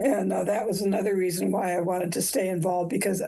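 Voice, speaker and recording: A woman speaks at a fairly quick pace with a medium pitch. Her tone is dark and mellow, and somewhat breathy. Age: 70s. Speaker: nurse educator and army veteran. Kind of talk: interview.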